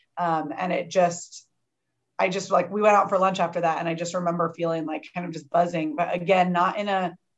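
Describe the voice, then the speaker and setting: A woman with an American accent and an unremarkable speaking voice talks at a fairly low pitch with ordinary pitch variation. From US Midwest, Champaign, Illinois. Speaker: laughter yoga leader. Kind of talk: casual interview.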